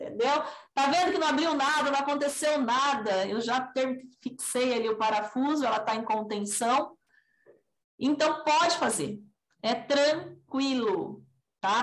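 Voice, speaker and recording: Her loudness stays very even as this woman speaks at a fairly slow pace in a high pitch with ordinary pitch variation. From São Paulo state, Brazil (raised in Assis). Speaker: orthodontist. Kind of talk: podcast interview.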